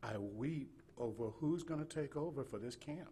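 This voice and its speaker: The speaker has a Southern US accent and a somewhat breathy voice, moving at a fairly slow pace with ordinary pitch variation. Audible room echo is present. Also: man. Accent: Southern US (Georgia). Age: 60s. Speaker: state missionary. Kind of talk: sermon. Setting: church. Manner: halting, repetitive.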